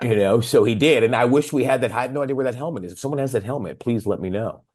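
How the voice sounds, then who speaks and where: A man's very fast, animated speech at a medium pitch with ordinary pitch variation. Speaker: rock singer. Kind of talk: casual chat.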